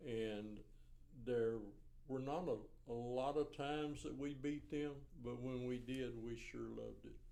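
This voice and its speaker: A man with a Central Texas accent speaks at a fairly slow pace in a medium pitch. His tone is dark and mellow, and his intonation fairly even. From Riesel, Texas. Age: 70s. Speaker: retired teacher, coach and school administrator. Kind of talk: oral history interview answer.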